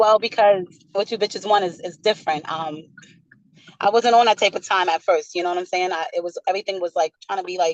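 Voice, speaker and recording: A woman's medium-pitched voice with a New York accent, fairly quick and fairly even in intonation, in a dry, close sound with no echo. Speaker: rapper. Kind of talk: interview. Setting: video call.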